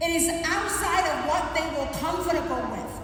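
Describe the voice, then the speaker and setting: With audible room echo and noticeable background noise, a woman speaks at a moderate pace in an extremely high pitch. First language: not English. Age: 50s. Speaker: motivational speaker. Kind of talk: motivational speech. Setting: stage with audience.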